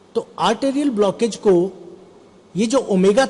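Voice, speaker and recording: A man with lively intonation against noticeable background noise. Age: 60s. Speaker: health seminar presenter. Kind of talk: seminar talk.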